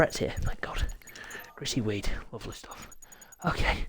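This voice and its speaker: Someone with a British accent speaks at a fairly quick pace over noticeable background noise. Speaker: sim racing league host and commentator. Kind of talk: live game commentary stream. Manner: hushed, trying not to shout.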